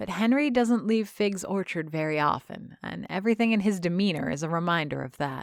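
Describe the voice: The clip is plain reading aloud.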